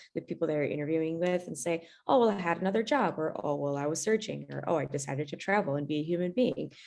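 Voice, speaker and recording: Speaking at a very fast pace, a woman with a Russian accent uses a fairly low pitch and ordinary pitch variation. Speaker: law panelist. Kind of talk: panel discussion.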